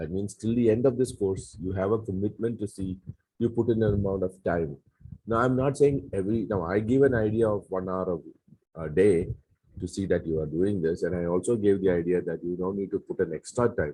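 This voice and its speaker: A man's fairly low, dark, mellow voice at a fairly quick pace. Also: ordinary pitch variation. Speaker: Bible course teacher. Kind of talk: lecture. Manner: halting.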